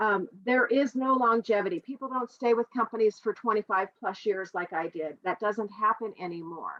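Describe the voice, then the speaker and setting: A woman speaks in a normal speaking voice, her pitch fairly high, with ordinary pitch variation, a moderate pace and hardly any pauses. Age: 60s. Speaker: direct sales presenter. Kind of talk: sales pitch.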